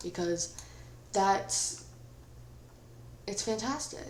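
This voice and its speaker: The woman's voice carries audible room echo. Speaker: gaming YouTuber. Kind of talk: gameplay commentary. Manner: casual, chatty.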